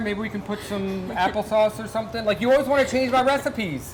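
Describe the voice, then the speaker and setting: Speaking fairly quickly in a high voice with ordinary pitch variation, a man is heard against noticeable background noise. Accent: American. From Delaware, US. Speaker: cooking show host. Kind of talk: cooking show chat. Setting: working kitchen, on set. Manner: casual, chatty.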